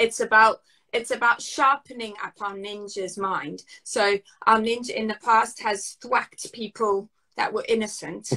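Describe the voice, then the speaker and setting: Over a quiet background, a woman's fairly high pitch comes through with a bright, sharp tone and fairly even intonation. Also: fairly slow pace. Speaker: trauma and nervous system expert; podcast guest. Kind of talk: podcast interview. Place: home room. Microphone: video call.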